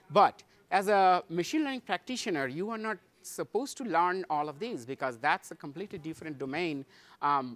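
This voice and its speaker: Recorded very cleanly against a silent background, a man with an Indian accent speaks with lively intonation in a dry, close sound with no echo. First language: Hindi. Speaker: tech conference speaker, solution architect. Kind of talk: conference talk. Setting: stage with audience. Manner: halting, many fillers.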